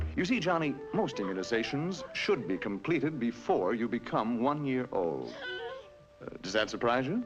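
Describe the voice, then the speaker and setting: With music in the background, a man at a medium pitch speaks at a moderate pace with very wide pitch swings. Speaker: narrator. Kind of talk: educational cartoon narration. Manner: wry, conversational. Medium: cartoon.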